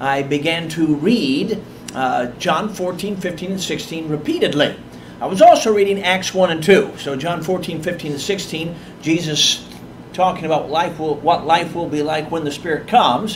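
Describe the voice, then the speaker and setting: A man with a high pitch talks fairly slowly while noticeable background noise carries on. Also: ordinary pitch variation. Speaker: guest preacher. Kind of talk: sermon. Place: church. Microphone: podium.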